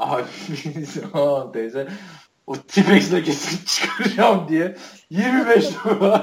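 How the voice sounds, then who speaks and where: A man's high voice at a very slow pace, with long, frequent pauses and lively intonation. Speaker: podcast host. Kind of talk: casual chat.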